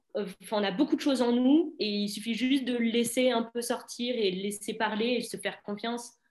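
A woman speaks in a normal speaking voice at a fairly high pitch. Her pace is moderate and her pitch varies in an ordinary way. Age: 20s. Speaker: student athlete. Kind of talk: webinar interview. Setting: online webinar.

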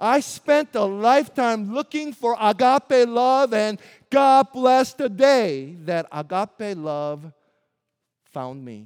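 A high-pitched male voice with a Midwestern accent, very slow, with very wide pitch swings and big jumps in loudness, dry and close with no echo. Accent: American Midwest. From US Midwest (Springfield, Missouri). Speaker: pastor. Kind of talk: sermon. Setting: church.

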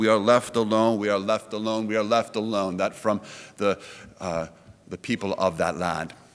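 A man with a normal speaking voice and fairly low pitch talks at a moderate pace, his intonation fairly even. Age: 40s. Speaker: pastor. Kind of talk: sermon. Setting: church.

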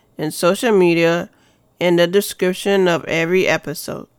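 A woman with an unremarkable speaking voice at a fairly low pitch and fairly slow pace, very cleanly recorded against a silent background. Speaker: spoken word poet and podcast host. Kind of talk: spoken word poetry performance, read aloud. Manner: emotive, rhythmic, introspective.

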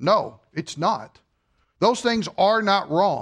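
A man speaks loudly at a high pitch with ordinary pitch variation. The background is quiet. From Kentucky. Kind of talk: sermon. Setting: church.

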